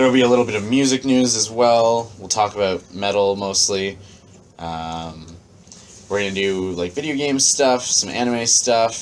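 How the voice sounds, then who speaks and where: A man speaks at a moderate pace in a fairly low voice with ordinary pitch variation over noticeable background noise. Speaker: podcast co-host. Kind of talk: casual chat. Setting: basement. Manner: animated.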